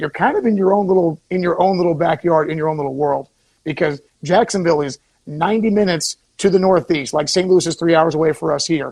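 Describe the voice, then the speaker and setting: A man with an American accent, high-pitched and very fast. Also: ordinary pitch variation. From Florida. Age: 30s. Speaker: former local TV news reporter. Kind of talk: casual radio talk show chat.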